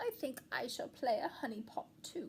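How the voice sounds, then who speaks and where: A female-sounding, high-pitched put-on character voice talks at a moderate pace. Clear background noise can be heard. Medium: read story.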